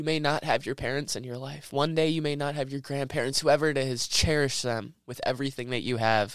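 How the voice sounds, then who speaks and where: Over a silent background in a very clean recording, a man talks at a moderate pace with a fairly high pitch and fairly even intonation. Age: young. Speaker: podcast host. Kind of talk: unscripted personal monologue. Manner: halting.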